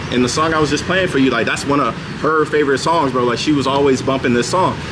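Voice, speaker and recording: A man with a fairly high voice talks at a very fast pace and very even loudness, with audible room echo and noticeable background noise. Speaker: spiritual vlogger. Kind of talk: casual monologue. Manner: animated.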